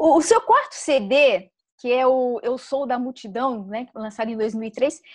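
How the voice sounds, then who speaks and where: Speech comes at a moderate pace. Nothing stirs in the background. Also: woman. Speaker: program co-host. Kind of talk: interview question.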